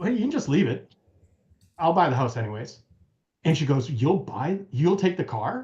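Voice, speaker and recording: A man with an American accent speaks at a fairly high pitch in a dark, mellow tone. His intonation is lively and his voice somewhat breathy. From United States. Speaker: car restorer. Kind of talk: casual chat.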